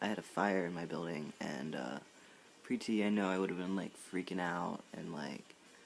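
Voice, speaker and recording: A man's very deep, low voice with vocal fry, at a fairly slow pace. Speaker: vlogger. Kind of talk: casual chat. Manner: hesitant, many fillers.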